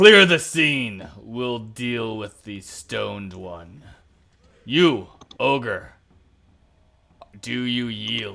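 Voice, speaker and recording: In a booming, put-on character voice at a medium pitch, a man talks at a very slow pace with lively intonation, big swings in loudness, and long, frequent pauses. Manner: commanding.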